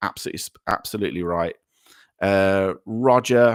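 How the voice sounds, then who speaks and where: A man with a British accent and lively intonation, on a very clean recording with a silent background. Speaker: livestream host. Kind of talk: live chat reading. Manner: halting, many fillers.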